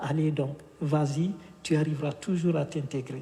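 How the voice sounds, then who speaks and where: In a West African accent, a man with a fairly high pitch and a dark, mellow tone speaks at a fairly slow pace. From Guinea. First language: Fula (speaking French). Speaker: author. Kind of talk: interview. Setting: bookshop event streamed live. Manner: hesitant, many fillers.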